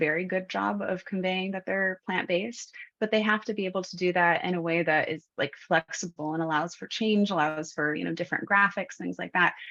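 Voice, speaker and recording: With hardly any pauses, a woman speaks at a fairly quick pace in a bright, sharp tone of medium pitch and fairly even intonation. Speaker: attorney and webinar speaker. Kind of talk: presentation. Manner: fast.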